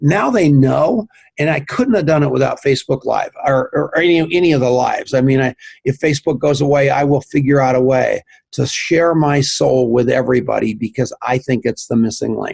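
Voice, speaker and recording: A man at a fairly quick pace, his loudness very even. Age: 60s. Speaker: network marketing entrepreneur and tech co-founder. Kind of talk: podcast interview. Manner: animated.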